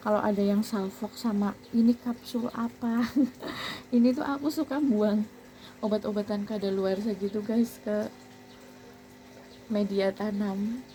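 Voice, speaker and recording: A soft-spoken woman with a fairly high pitch talks at a fairly slow pace, her intonation fairly even, with long, frequent pauses. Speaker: family vlogger, home gardener. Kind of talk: casual vlog tutorial. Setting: rooftop garden at home. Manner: soft-spoken, speaking quietly.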